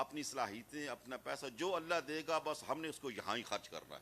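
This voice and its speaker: This man's pitch is fairly high. His tone is bright and sharp. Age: 60s. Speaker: Islamic scholar. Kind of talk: religious speech. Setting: madrasa gathering.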